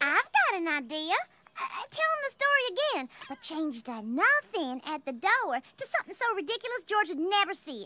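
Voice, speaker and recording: This is a cartoonish character voice at an extremely high pitch. It moves at a moderate pace with very wide pitch swings. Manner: casual, sly.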